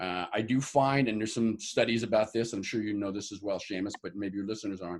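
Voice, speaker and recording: An unremarkable speaking voice from a man with an American accent, fairly low in pitch, with ordinary pitch variation at a fairly quick pace. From New York (Harlem). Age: 60s. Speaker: bodybuilder and fitness trainer. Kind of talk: interview.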